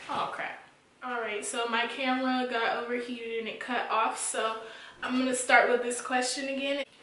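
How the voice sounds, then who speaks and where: Amid audible room echo and noticeable background noise, a woman speaks at a moderate pace with a high pitch and monotone, flat intonation. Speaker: beauty YouTuber. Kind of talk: casual storytime Q&A vlog.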